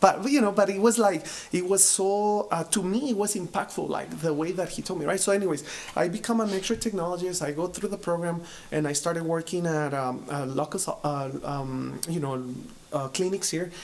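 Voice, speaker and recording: A man with a strong Spanish accent speaks at a moderate pace in a high pitch with ordinary pitch variation. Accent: heavy Spanish. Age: 30s. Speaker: business owner, x-ray technologist. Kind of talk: casual interview. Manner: halting, many fillers.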